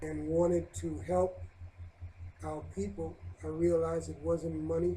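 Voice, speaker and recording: A man speaks fairly slowly in a dark, mellow, somewhat breathy voice. His delivery is a flat monotone with long, frequent pauses. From New York City, Brooklyn. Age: 60s. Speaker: Hebrew Israelite elder. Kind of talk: interview. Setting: on camera. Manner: halting with many uhs.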